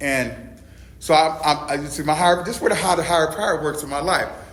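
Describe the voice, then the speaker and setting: A man with a fairly high pitch speaks at a fairly quick pace in an animated tone. Audible room echo and noticeable background noise surround his voice. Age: 60s. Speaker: recovery meeting speaker, peer support specialist. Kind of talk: testimony.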